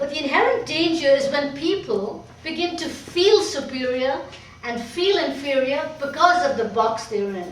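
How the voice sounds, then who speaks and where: With very wide pitch swings, a high-pitched woman speaks at a moderate pace amid noticeable background noise and audible room echo. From Pakistan. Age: 60s. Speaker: painter. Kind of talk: personal speech to an audience.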